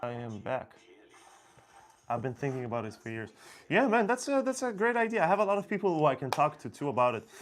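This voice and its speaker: Speaking very fast yet with long, frequent pauses, a man with an Israeli accent makes very wide pitch swings. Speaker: locksmith. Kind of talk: live stream Q&A. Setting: live stream. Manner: casual, hesitant with fillers.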